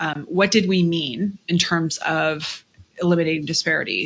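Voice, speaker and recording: A woman speaks with an American accent and vocal fry. Her intonation is monotone and flat. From rural Montana, US. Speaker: executive director of a university consortium. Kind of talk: casual interview.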